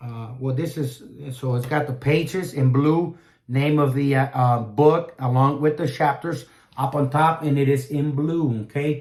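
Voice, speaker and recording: The speaker sounds somewhat breathy and moves at a fairly slow pace. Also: man. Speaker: Bible reviewer. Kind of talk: product review. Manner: halting, many fillers.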